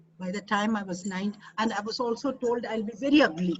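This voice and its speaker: A woman talks with a Keralan accent. Her pitch is fairly high, with ordinary variation. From India, Kerala. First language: Malayalam. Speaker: expert speaker. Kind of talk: webinar talk. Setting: online webinar.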